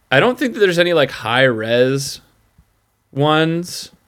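The speaker, a man, goes at a fairly slow pace. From upstate New York (Utica area). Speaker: podcast listener guest. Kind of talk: casual chat.

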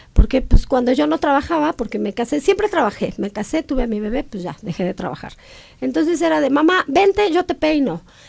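A woman speaks at a fairly quick pace with a high pitch. Her pitch swings very widely. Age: 40s. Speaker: hair restoration entrepreneur. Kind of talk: casual interview.

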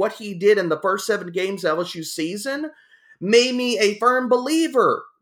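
At a moderate pace, a man uses a raised, projected voice, high in pitch with a bright, sharp tone and lively intonation, on a very clean recording with a silent background. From Louisiana. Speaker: fantasy football analyst. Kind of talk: casual chat.

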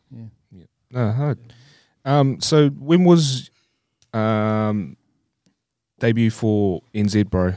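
In a New Zealand accent, a man with a medium-pitched, dark, mellow tone speaks at a very slow pace with long, frequent pauses, lively intonation and big swings in loudness, on a very clean recording with a silent background. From New Zealand, Christchurch. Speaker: podcast host. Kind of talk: casual chat.

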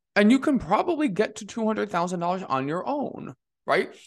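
Against a quiet background, a man with a high pitch talks in an enthusiastic tone, his pitch swinging very widely. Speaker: podcast host and money mindset coach. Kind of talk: solo podcast monologue.

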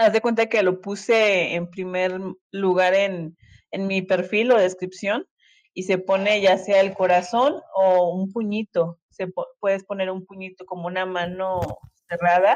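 This woman's delivery is fairly slow and monotone, with flat intonation at a medium pitch. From Monterrey, Mexico. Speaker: audience participant. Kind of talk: casual chat. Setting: phone in audio chat room.

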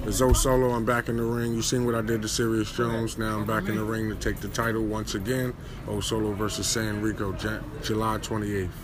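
With an American accent, a man speaks at a medium pitch in a monotone, flat intonation. He goes at a fairly quick pace with hardly any pauses, over noticeable background noise. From New Jersey. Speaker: music writer and battle rapper. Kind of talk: casual interview. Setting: live event venue.

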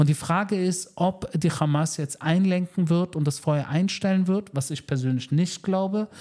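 With a dark, mellow tone, a man talks in a voice that is somewhat breathy. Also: very clean recording, silent background. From Germany, Berlin (Wedding). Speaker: military spokesperson. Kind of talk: interview. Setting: in person in Tel Aviv.

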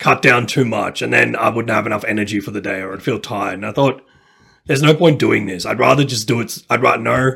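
With an Australian accent, a man of medium pitch speaks at a fairly quick pace and varies his pitch in an ordinary way. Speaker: language learner. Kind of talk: casual chat.

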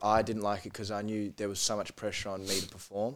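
Very clean with a silent background, the recording has a man with an Australian accent speaking very fast at a fairly low pitch. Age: 20s. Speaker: podcast guest. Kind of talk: casual chat.

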